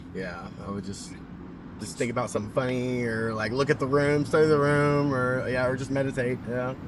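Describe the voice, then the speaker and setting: A man with an American accent, medium in pitch, fairly quick, with ordinary pitch variation and noticeable background noise. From Oklahoma, USA. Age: 30s. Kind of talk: street interview answer. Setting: outdoors, park. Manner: casual, hesitant.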